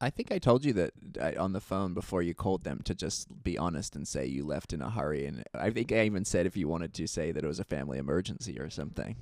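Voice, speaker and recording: A man's very deep, low voice with vocal fry and lively intonation, very fast and with hardly any pauses. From Australia. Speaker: filmmaker and YouTuber. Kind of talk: casual chat. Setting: home recording in apartment.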